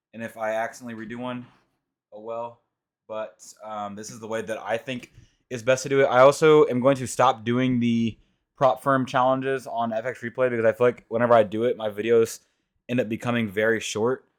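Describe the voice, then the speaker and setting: A quiet man speaks at a medium pitch with monotone, flat intonation. His loudness swings widely. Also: fairly quick pace. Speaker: trading educator / youtuber. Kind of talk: screen-recorded tutorial. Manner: casual, filler-heavy. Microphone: mic being adjusted, reportedly quiet.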